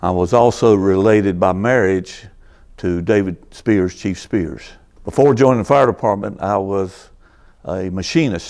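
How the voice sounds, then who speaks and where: A man's fairly low-pitched voice at a fairly slow pace with ordinary pitch variation. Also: very clean recording, silent background. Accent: North Carolina. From North Carolina, Greensboro. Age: 60s. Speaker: retired fire captain. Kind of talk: oral history interview. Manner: halting.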